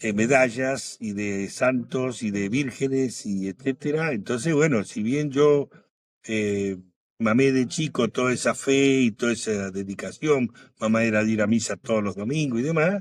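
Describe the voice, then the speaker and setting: A man with a Rioplatense accent, at a fairly slow pace with ordinary pitch variation, on a very clean recording with a silent background. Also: medium pitch for a man. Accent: Argentine Spanish (rioplatense). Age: 70s. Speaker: guest telling his faith testimony. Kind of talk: testimony.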